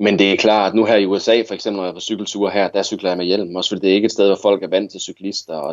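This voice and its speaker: A man's fairly low voice at a very fast pace. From Denmark, Viborg (Jutland). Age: 30s. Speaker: cycling adventurer and journalist. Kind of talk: casual interview.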